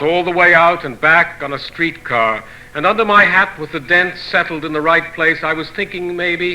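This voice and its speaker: Noticeable background noise sits behind a man speaking at a moderate pace in a high voice. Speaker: poet. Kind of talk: poetry reading.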